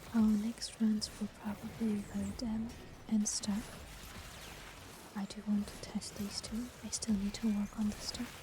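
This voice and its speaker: Whispering at a moderate pace is heard over noticeable background noise. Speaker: vtuber gamer. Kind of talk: gaming commentary to stream. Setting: home setup, not a proper microphone. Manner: whispered.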